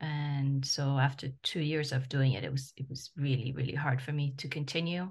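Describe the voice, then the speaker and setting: Her pitch very deep and low, a woman speaks in a French accent, somewhat breathy and with monotone, flat intonation. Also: moderate pace. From former French colony in Africa. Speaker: travel journalist. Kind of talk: casual interview.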